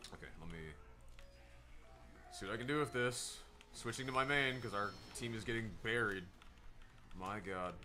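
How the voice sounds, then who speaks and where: With music in the background and audible room echo, a man talks at a medium pitch and moderate pace. His pitch variation is ordinary, and he takes long, frequent pauses. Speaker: gaming streamer. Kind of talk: live gameplay stream commentary. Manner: loud; animated.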